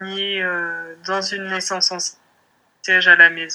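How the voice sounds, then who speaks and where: Here a woman speaks at a medium pitch. Her tone is bright and sharp. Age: 20s. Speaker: mother sharing birth story. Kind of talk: personal testimony interview. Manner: hesitant, many filler words.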